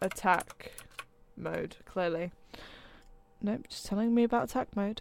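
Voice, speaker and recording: The delivery is deadpan and moderately paced, with noticeable background noise. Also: woman. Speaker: motorsport podcast host. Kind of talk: reading aloud; casual chat.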